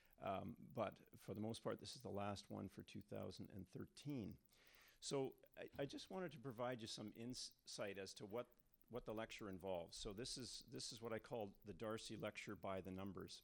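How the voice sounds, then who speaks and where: A man with a Canadian accent, fairly low pitch, ordinary pitch variation and a moderate pace, a plain, everyday voice. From Canada. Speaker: hydrogeologist, university professor. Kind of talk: lecture. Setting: stage with audience. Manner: frequent fillers (um, uh) and repetitions.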